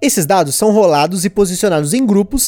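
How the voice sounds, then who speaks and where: Dry, close audio of a man at a moderate pace, his pitch swinging very widely, with no echo. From Brazil. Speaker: board game podcast host. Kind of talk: casual podcast chat and game review.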